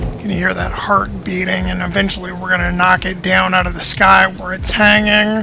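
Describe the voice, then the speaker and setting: Music plays in the background. A man speaks with hardly any pauses. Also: moderate pace. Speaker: gaming video creator. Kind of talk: gameplay commentary.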